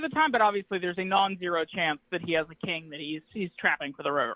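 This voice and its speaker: A man is speaking. His voice is loud. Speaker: poker player calling in with a hand. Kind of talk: hand review discussion. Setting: call-in from home apartment.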